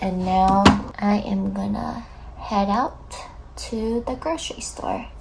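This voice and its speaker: A woman's voice carries audible room echo. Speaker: vlogger. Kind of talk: casual vlog narration.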